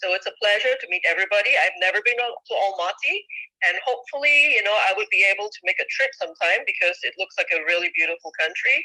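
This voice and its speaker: A woman with a slight Malaysian accent at a very fast pace. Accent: slightly British Malaysian English. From Malaysia, Penang. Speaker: marketing manager giving guest talk. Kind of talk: guest lecture presentation.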